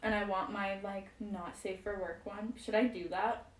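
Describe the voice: A woman at medium pitch and moderate pace, with audible room echo. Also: fairly even intonation.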